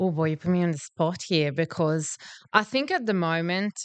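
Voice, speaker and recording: A woman speaks with a Northern Italian accent at a fairly low pitch, her pitch varying in an ordinary way. The background is quiet and the sound is dry and close, with no echo. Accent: Northern Italian (Venetian) accent in English. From Italy, Veneto. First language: Italian (Venetian). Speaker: marketing and branding professional. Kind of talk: casual podcast chat.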